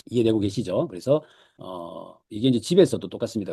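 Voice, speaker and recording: With a slight Gyeongsang accent, a man speaks at a very fast pace. His tone is dark and mellow, with ordinary pitch variation. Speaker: lecturer, book summary host. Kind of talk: online lecture. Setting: Zoom video call. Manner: hesitant with frequent fillers.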